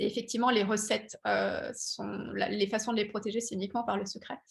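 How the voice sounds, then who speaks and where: Here a woman is speaking. Her pace is moderate. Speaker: patent engineer and startup founder. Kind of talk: webinar presentation. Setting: online webinar. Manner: many hesitations and fillers.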